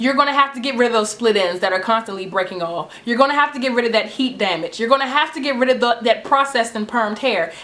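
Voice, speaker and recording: There is noticeable background noise in the clip. Over it, a woman talks at a fairly high pitch with ordinary pitch variation. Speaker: natural hair vlogger. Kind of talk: tutorial. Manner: fast; animated.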